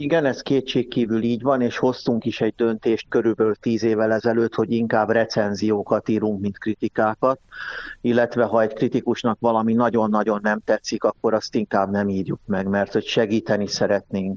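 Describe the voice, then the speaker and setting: In a normal speaking voice, a man speaks at medium pitch and a moderate pace, with fairly even intonation, very even loudness and a dry, close sound with no echo. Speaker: music historian and magazine editor. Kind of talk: interview.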